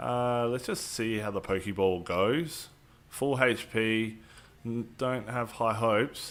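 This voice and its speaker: Speaking very slowly with an Australian accent, a man uses a medium pitch and ordinary pitch variation. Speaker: gaming streamer. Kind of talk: live stream gameplay commentary. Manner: casual, filler-heavy.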